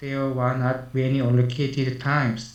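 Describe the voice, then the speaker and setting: This man has a fairly high-pitched voice, and the room echo is audible. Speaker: city lifelong learning official. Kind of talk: prepared presentation. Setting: video call. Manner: halting.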